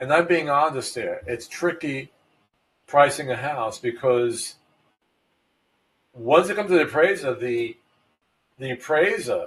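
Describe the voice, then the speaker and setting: With a Brooklyn accent, a man speaks at a fairly high pitch in a somewhat breathy voice. His moderate pace, ordinary pitch variation and long, frequent pauses mark the delivery. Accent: New York (Brooklyn). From New York City (Brooklyn). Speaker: real estate agent. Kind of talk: podcast talk. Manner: casual, halting with fillers.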